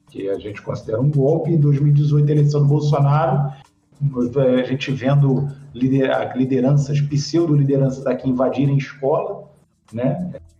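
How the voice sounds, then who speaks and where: A man speaks at a fairly slow pace in a fairly high pitch, his dark, mellow tone somewhat breathy and his intonation fairly even, with audible room echo. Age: 50s. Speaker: sociology teacher. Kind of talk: interview.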